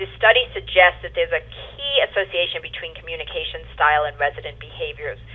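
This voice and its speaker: Over noticeable background noise, a woman with an American accent talks at a very fast pace with hardly any pauses and big swings in loudness. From New York. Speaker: home care operations director. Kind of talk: webinar presentation. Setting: webinar.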